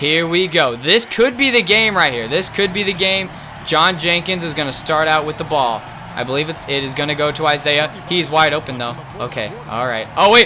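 An animated man at a moderate pace, with noticeable background noise. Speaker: gaming YouTuber. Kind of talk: gameplay commentary. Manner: excitable, animated.

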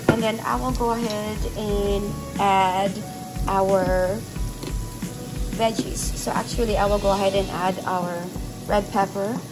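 The speech moves at a fairly slow pace with long, frequent pauses. Clear music plays in the background. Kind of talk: casual cooking tutorial. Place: kitchen. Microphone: phone near.

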